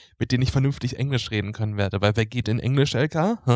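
The voice has ordinary pitch variation. The recording is very clean, with a silent background and a dry, close sound with no echo. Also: man. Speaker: social work student. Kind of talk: casual chat. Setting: lying on his bed. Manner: halting.

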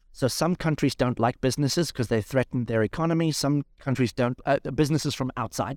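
Using an ordinary speaking voice, a man of medium pitch talks at a fairly quick pace with hardly any pauses, very even loudness and ordinary pitch variation, in a dry, close sound with no echo. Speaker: pastor and entrepreneur. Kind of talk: casual interview.

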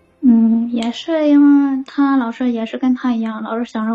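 Speaking at a moderate pace with fairly even intonation, a woman has a fairly high pitch and an unremarkable speaking voice. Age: 30s. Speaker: caller. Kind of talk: call-in advice chat.

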